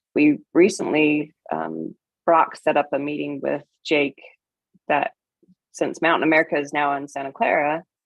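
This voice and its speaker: Speaking at a moderate pace, a woman leaves long, frequent pauses. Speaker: city finance staff presenting budget. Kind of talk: public meeting budget presentation.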